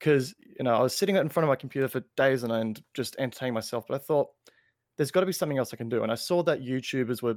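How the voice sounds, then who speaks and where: Someone with an Australian accent talks at a very fast pace on a very clean recording with a silent background. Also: man, dry, close sound with no echo. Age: 20s. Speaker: gaming content creator. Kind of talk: casual chat. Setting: live-streamed podcast.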